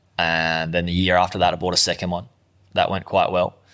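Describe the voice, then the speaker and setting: A man's very deep, low voice with a bright, sharp tone and an Australian accent, on a very clean recording with a silent background. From Australia, Gold Coast. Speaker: online entrepreneur, former plumber. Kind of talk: interview.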